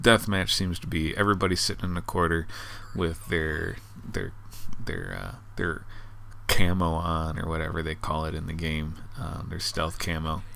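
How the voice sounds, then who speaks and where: A man with a very deep, low pitch and vocal fry has a bright, sharp tone and lively intonation. He talks at a fairly slow pace with long, frequent pauses. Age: 40s. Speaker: gaming commentator. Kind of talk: casual game review commentary.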